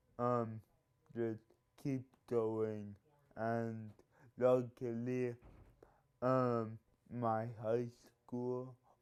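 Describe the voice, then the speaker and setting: A man with an American accent speaks at a very slow pace in a flat monotone, leaving long, frequent pauses. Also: medium pitch for a man. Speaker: college football team manager. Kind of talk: interview. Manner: halting.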